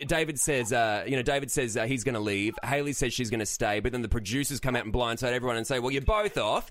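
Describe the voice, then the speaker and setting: With an Australian accent, a man at medium pitch talks at a very fast pace with hardly any pauses and ordinary pitch variation. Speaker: podcast host. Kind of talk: casual chat. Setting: studio.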